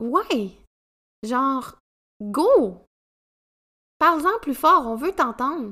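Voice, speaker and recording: This speaker, with a Quebec accent, talks at a very slow pace with long, frequent pauses in a raised, projected voice that is bright and sharp in tone, swinging very widely in pitch, on a very clean recording with a silent background. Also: woman, high pitch for a woman. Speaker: podcast host, women's coach. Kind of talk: solo podcast monologue.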